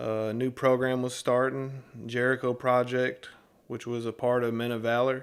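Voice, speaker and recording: In a Southern US accent, a man speaks at a medium pitch and a fairly slow pace. His intonation is monotone and flat. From US South, Tennessee (Nashville area). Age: 30s. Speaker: former inmate in a recovery ministry. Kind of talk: testimony. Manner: casual with hesitations.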